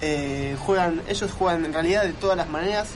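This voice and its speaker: A man talks at a high pitch with fairly even intonation. Noticeable background noise and audible room echo surround him. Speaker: football commentator. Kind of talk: casual radio chat. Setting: studio.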